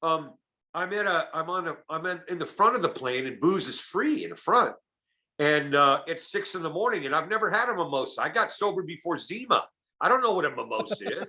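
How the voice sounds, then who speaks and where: With an American accent, a man uses a raised, projected, high voice, bright and sharp in tone, animated and lively in intonation, at a fairly quick pace. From Oakland, California. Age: 60s. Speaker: comedian and recovery speaker. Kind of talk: casual podcast interview.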